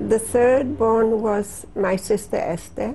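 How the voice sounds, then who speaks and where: Noticeable background noise runs under a woman talking at a very slow pace. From Poland. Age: 60s. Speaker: Holocaust survivor. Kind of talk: testimony interview.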